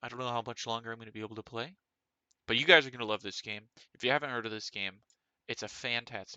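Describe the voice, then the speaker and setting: A man speaks at a medium pitch with a bright, sharp tone and fairly even intonation. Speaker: gaming streamer. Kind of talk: casual live stream chat. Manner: casual, filler-heavy; mumbling. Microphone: too quiet.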